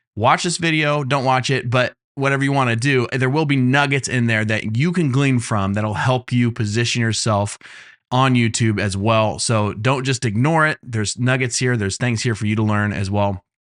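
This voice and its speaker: Against a quiet background, a man with a plain, everyday voice talks at a moderate pace and medium pitch, with ordinary pitch variation and very even loudness. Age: 30s. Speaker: YouTube growth coach. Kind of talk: tutorial. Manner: casual, with frequent fillers.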